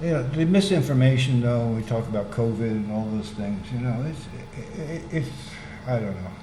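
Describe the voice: The pace is moderate and the intonation lively. There is audible echo in the room. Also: man, medium pitch for a man.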